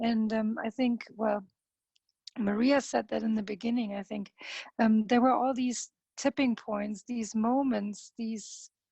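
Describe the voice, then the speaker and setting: In a dry, close recording with no echo, a woman speaks at a moderate pace with a fairly high pitch, a dark, mellow tone, somewhat breathy delivery, and flat, monotone intonation. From Germany. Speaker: parent organizer. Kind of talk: panel discussion (webinar).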